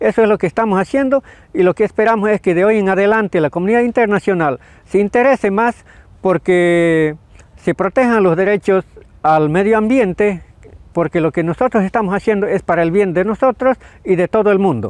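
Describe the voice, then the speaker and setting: Against a quiet background, a man talks at a fairly quick pace in a high pitch. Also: ordinary pitch variation, very even loudness, dry sound with no echo. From Bolivia, Tarija department; Bolivia. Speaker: farmer and nature defender. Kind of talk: testimony statement to camera; interview statement to camera. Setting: at the UN headquarters in Geneva. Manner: halting, with frequent fillers. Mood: earnest, concerned. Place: garden. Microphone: lapel.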